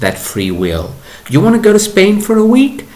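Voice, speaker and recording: Noticeable background noise sits behind a man's voice. His pitch swings very widely. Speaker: spiritual teacher. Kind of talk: monologue. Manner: slow; halting.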